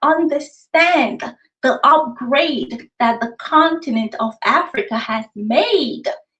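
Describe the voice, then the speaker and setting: In a Nigerian accent, a woman speaks at a very slow pace. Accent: noticeable accent, Nigerian. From Nigeria, raised in US. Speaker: author. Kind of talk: interview. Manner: conversational.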